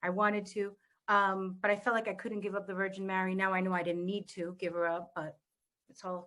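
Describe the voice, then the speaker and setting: In a Spanish accent, a woman talks with a bright, sharp tone. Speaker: panel guest on wellness discussion. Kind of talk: casual panel conversation. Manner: animated.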